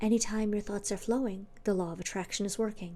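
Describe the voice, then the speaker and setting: Soft-spoken with a dark, mellow tone, this voice moves at a fairly quick pace. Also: woman. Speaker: ASMR creator. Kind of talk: ASMR book reading.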